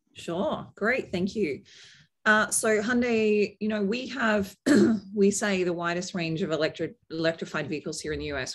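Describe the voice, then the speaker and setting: Someone speaks with an Australian accent at a moderate pace, using ordinary pitch variation. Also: woman. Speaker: marketing executive. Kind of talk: webinar panel discussion.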